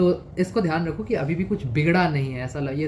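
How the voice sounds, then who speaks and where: A man talks with ordinary pitch variation. Noticeable background noise and audible room echo surround his voice. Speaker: exam prep youtuber. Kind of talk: advice monologue. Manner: casual, conversational.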